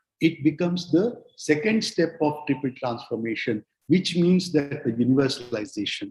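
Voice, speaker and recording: Somewhat breathy and fairly high-pitched, a man speaks with lively intonation. His pace is moderate, with hardly any pauses. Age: 60s. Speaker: spiritual speaker. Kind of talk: lecture. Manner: halting.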